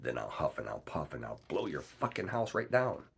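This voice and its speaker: In a put-on character voice, a man growls at a moderate pace. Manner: growling.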